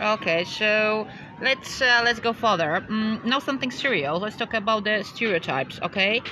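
Noticeable background noise accompanies the recording. A woman with a Polish accent speaks at a fairly high pitch. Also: ordinary pitch variation, moderate pace. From Poland. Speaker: podcast co-host. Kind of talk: casual Q&A interview. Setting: outdoors by a river. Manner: halting, many fillers.

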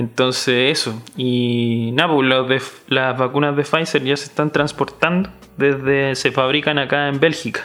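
Speaking with a Chilean accent, a man of medium pitch keeps a fairly slow pace and fairly even intonation. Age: 20s. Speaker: podcast co-host. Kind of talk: casual chat.

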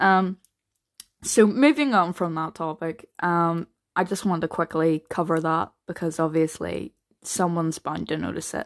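Against a quiet background with a dry, close sound and no echo, a woman with a Northern Irish accent speaks at a moderate pace, her fairly low pitch showing ordinary variation. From Northern Ireland. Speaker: podcaster, mental health advocate. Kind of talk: casual solo podcast monologue. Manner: hesitant, many fillers and repetitions.

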